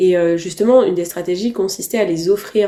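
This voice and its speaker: This woman talks at a fairly quick pace in a fairly low pitch. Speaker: novelist. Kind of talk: interview answer. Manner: enthusiastic, precise.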